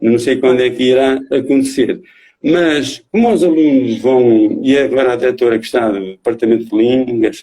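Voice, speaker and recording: A man with a medium pitch and a dark, mellow tone talks at a moderate pace. His loudness stays very even, and his pitch varies in an ordinary way. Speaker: slam poet. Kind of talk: interview answer.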